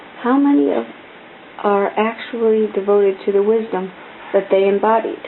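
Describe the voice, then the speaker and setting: Noticeable background noise sits behind the recording. A woman speaks at a fairly slow pace. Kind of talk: soft-spoken ASMR book reading. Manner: soft-spoken, calm, relaxed.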